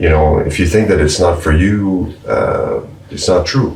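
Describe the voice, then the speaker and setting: Through audible room echo and noticeable background noise, a man speaks at a fairly slow pace. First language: French. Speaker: musician. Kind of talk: casual chat. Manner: halting.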